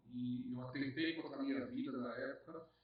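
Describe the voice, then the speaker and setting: Over noticeable background noise, a man speaks with a northeastern Brazilian accent and ordinary pitch variation. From Northeast Brazil. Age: 40s. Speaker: businessman. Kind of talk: podcast interview. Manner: halting, repeats words.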